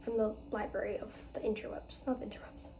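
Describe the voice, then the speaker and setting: The speech moves at a fairly quick pace. Audible room echo can be heard. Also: woman. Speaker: book vlogger. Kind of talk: casual book review vlog.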